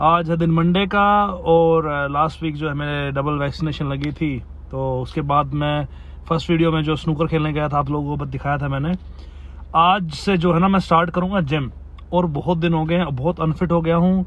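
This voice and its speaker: At a moderate pace, a man with a normal speaking voice talks at a fairly high pitch with fairly even intonation, in a dry sound with no echo. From Haryana, India. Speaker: vlogger. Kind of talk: casual talk to camera. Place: car. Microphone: phone near.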